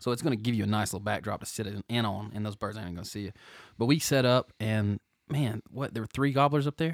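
Very fast, fairly low-pitched man with ordinary pitch variation, in a dry, close sound with no echo on a very clean recording with a silent background. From New Jersey. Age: 30s. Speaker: podcast co-host. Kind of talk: casual chat. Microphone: too close to the mic.

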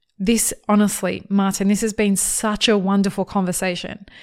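A woman with an animated, enthusiastic tone speaks at a medium pitch and a moderate pace on a very clean recording with a silent background. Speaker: podcast host. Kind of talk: interview conversation, podcast. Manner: animated, casual, enthusiastic.

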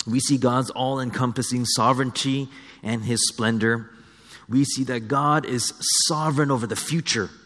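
The passage comes across in a natural reading voice.

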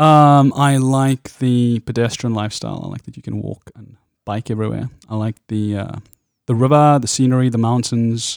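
A man speaks at a moderate pace in a South African accent, his medium pitch and fairly even intonation. The sound is dry and close with no echo, a very clean recording with a silent background. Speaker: pastor. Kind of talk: casual interview conversation.

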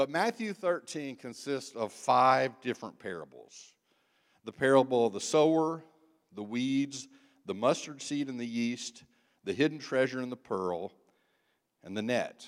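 A man with a medium-pitched voice talks at a fairly slow pace, using lively intonation and long, frequent pauses. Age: 60s. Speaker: guest preacher, church member. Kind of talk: sermon. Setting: church.

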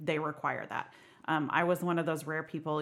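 A woman with an American accent speaks in a very deep, low pitch at a fairly quick pace. Her intonation is monotone and flat, in a very clean recording with a silent background. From Oklahoma. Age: 40s. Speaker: burlesque performer and bariatric surgery patient. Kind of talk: casual chat.

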